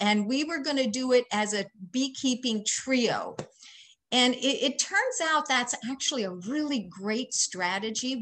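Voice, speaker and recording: A high-pitched woman's voice with lively intonation at a moderate pace, plus light background noise. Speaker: presenter. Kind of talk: lecture. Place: home room. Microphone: webcam.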